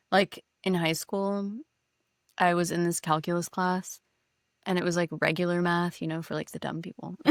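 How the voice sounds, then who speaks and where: A woman with a Californian accent speaks at a fairly low pitch in a flat monotone with long, frequent pauses, in a dry, close recording with no echo. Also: moderate pace. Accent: General American, Californian. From California, Silicon Valley. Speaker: podcast co-host. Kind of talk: casual chat. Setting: in person, same room.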